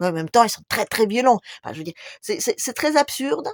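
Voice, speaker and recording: A woman talks at a very fast pace, her pitch swinging very widely. The sound is dry and close with no echo, in a very clean recording with a silent background. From Russia. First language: Russian (speaking French). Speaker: YouTuber. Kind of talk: video monologue.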